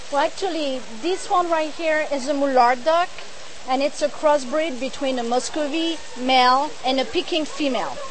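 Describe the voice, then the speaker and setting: A high-pitched woman with a French accent, moderate pace and ordinary pitch variation, over noticeable background noise. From France. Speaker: duck producer. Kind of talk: cooking demonstration interview.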